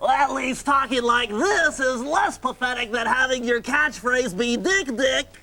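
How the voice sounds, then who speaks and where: A man's put-on character voice, extremely high-pitched, moderate pace. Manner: self-mocking, sarcastic.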